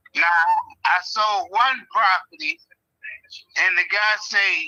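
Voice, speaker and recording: Raising and projecting his voice, a man speaks with an extremely high pitch, a bright, sharp tone and lively intonation. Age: 60s. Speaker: property owner selling to an investor. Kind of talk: phone call with investor. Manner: halting, many fillers.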